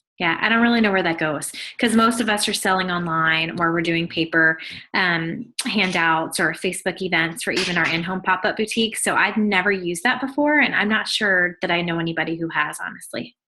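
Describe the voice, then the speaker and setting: A woman speaks at a fairly quick pace. Her pitch is fairly low, with ordinary variation. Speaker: sales trainer. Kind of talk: tutorial. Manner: fast.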